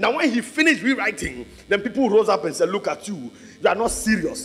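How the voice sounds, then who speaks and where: A man with a high pitch talks at a fairly quick pace in an animated tone, with ordinary pitch variation and noticeable background noise. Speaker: preacher. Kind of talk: sermon. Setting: church with congregation. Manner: animated, rousing call-and-response; loud, urgent, full of exhortation.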